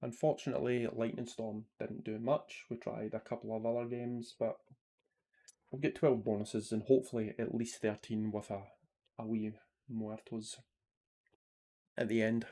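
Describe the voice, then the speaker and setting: With a Scottish accent, a man speaks in a dark, mellow tone at medium pitch, his intonation monotone and flat, with long, frequent pauses. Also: moderate pace, very clean recording, silent background. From Scotland. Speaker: slots streamer. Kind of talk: live stream commentary. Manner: casual, chatty.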